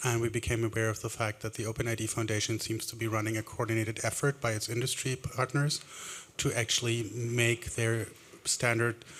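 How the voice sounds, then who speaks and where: A man's medium-pitched voice with a German accent, fairly quick and flat in a monotone. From Germany. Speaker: audience member asking question. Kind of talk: audience question and debate.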